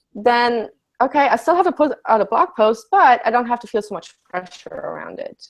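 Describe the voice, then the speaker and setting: This woman speaks high and fairly quickly, her pitch swinging very widely. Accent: German. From Germany. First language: German. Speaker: life coach. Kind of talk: casual chat.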